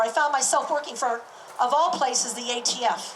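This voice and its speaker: A woman's high voice with an American accent, ordinary pitch variation and a moderate pace, against noticeable background noise. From California. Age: 50s. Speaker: military reservist and activist. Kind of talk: public speech.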